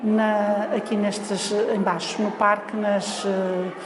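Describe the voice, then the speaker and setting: Noticeable background noise is present. A woman talks amid audible room echo. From Portugal, Lisbon. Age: 60s. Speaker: foundation library staff. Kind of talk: oral history interview. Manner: hesitant, many fillers.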